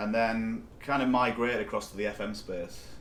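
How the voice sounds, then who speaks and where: A man speaks at a moderate pace in a northeast English accent. Audible room echo surrounds the voice. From northeast England, County Durham. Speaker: company CEO. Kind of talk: interview.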